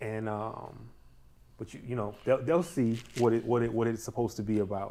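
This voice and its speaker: Speaking with a New York accent, a man has a medium pitch, a dark, mellow tone, ordinary pitch variation and a moderate pace. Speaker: guest actor, former salesperson. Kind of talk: casual chat. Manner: hesitant, many fillers.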